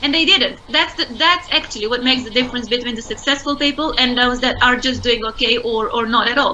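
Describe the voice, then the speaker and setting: In a Romanian accent, a woman talks at a high pitch and a fairly quick pace with hardly any pauses and ordinary pitch variation, over noticeable background noise. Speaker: entrepreneur. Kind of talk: interview.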